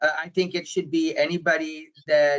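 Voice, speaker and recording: A loud man speaks at a moderate pace with a bright, sharp tone and fairly even intonation. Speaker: digital marketing consultant. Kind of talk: webinar panel discussion. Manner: unscripted.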